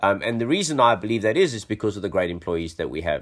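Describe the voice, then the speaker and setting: This man speaks with a South African accent. His pitch is fairly low. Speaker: tech company chief executive. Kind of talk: podcast interview. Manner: hesitant with many fillers.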